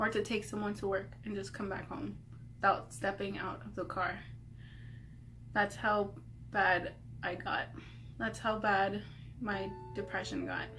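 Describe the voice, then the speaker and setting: At a fairly slow pace, the speech is broken by long, frequent pauses, with audible room echo. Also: woman. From Arizona. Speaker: vlogger. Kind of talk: casual chat. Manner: hesitant, many fillers.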